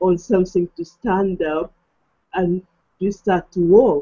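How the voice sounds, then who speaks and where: Speaking at a very slow pace, a woman talks with a non-native accent. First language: not English. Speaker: online marketing affiliate, hangout host. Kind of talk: casual chat. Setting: video call.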